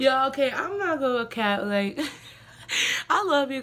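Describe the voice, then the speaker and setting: The woman's speech moves at a moderate pace. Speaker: vlogger. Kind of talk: casual vlog chat. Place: home room. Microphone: phone near.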